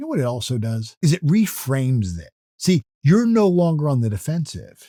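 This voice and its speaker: Somewhat breathy, a man speaks at a moderate pace in a fairly high pitch with very wide pitch swings. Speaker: motivational speaker. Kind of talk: motivational talk. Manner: calm, steady.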